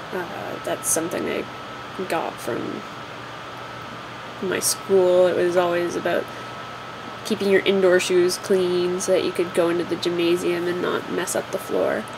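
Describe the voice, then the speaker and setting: Speaking at a fairly slow pace with long, frequent pauses, a woman keeps a fairly low pitch and a monotone, flat intonation amid noticeable background noise. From Ontario, Canada. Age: 20s. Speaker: vlogger. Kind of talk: casual talk to camera. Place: home room. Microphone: webcam.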